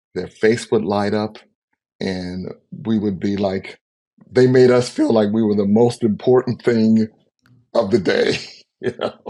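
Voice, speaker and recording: Pausing long and often, a man with an American accent speaks at a fairly slow pace and medium pitch, in a dark, mellow tone with fairly even intonation. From US South, New Orleans. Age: 60s. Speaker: singer-songwriter and cookbook author. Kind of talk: interview.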